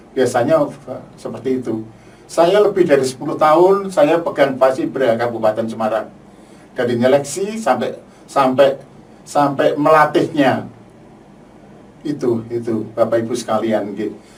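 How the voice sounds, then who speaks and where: Using lively intonation, a man at a medium pitch talks at a moderate pace with long, frequent pauses. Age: 60s. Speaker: UN peacekeeping veteran. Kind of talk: testimony. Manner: halting, with repetitions.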